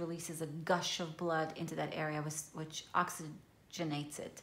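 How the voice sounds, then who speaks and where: A woman with an Israeli accent speaks at a moderate pace and a fairly low pitch in a monotone, flat intonation. Audible room echo surrounds her voice. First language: Hebrew. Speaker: journaling vlogger. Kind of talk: casual show-and-tell tutorial. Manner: hesitant, many fillers.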